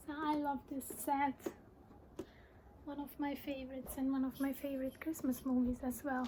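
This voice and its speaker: The intonation is monotone and flat. The speaker has a Hungarian accent. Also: woman, high pitch for a woman, moderate pace. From Hungary. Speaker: collector showing films. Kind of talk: casual show-and-tell.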